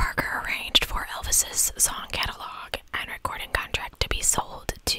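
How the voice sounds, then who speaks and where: A soft-spoken woman whispers at a fairly slow pace, the sound dry with no echo beneath loud background noise. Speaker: streamer or storyteller. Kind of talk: reading a history narration. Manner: soft close-mic ASMR whisper. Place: home room. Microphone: studio mic.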